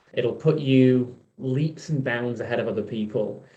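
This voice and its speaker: A man with a Yorkshire accent speaks at medium pitch and a moderate pace in a dark, mellow tone, with fairly even intonation and audible room echo. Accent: Yorkshire (Hull) English. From Hull, Yorkshire, northern England. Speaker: event host. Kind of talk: event hosting between talks.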